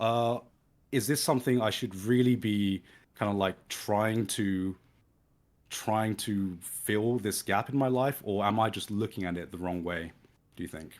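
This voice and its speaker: On a very clean recording with a silent background, a man speaks at a fairly slow pace. He has a southern English accent. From southern England, Brighton. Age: 30s. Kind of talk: casual chat. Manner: halting.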